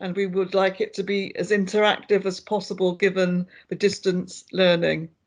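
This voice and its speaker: Against a quiet background, a woman with a British accent speaks at a moderate pace in a medium pitch, with monotone, flat intonation. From Britain. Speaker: lecturer. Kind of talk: online workshop.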